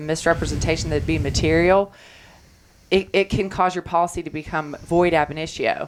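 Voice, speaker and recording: A woman's fairly low voice in a Kentucky accent, monotone and flat in intonation. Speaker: insurance claims attorney. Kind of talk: radio talk show interview.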